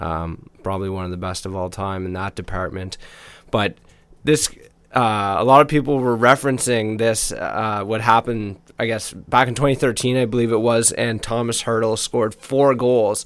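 In a normal speaking voice, a man talks at a moderate pace and medium pitch with ordinary pitch variation on a very clean recording with a silent background. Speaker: hockey podcast co-host. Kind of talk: casual sports podcast chat and analysis. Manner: laid-back, conversational.

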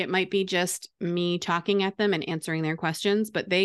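An ordinary speaking voice at a moderate pace with fairly even intonation, dry and close with no echo, quiet background. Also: woman. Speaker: teacher turned online business coach. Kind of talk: interview.

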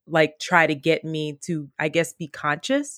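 A woman's fairly low voice with fairly even intonation, in a dry, close sound with no echo. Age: 30s. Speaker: podcast guest sharing personal story. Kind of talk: personal interview, testimony.

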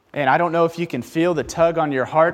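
An animated tone at a fairly quick pace. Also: man. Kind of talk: sermon. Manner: fervent, exhortative preaching, urging the congregation to repeat and proclaim phrases; animated, conversational, and challenging, with a direct call-and-response rhythm.

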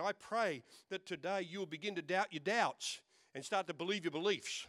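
Recorded with a dry, close sound and no echo, a man speaks in a high pitch at a moderate pace. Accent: Australian. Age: 60s. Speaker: pastor. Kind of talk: lively, joking Pentecostal-style church sermon with audience call-and-response. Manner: punctuated by laughter, playful bantering delivery.

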